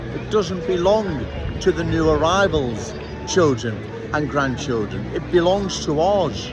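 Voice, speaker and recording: A man with a Liverpool accent speaks at a fairly high pitch and a fairly slow pace, with very wide pitch swings. Audible room echo and noticeable background noise fill the recording. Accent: Scouse. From Liverpool, England. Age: 60s. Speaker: political commentator. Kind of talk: street monologue. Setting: outdoors on a city street.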